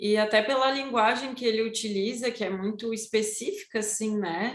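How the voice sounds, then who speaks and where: Her voice sits fairly high for a woman, with fairly even intonation and a moderate pace. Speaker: study group member presenting lesson. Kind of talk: study group class.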